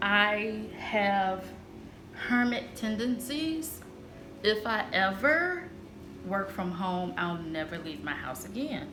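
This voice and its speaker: A woman speaks at a medium pitch with lively intonation. Music plays in the background, and there is audible room echo. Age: 40s. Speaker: lifestyle vlogger. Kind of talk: casual vlog monologue. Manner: loud; cackling laugh.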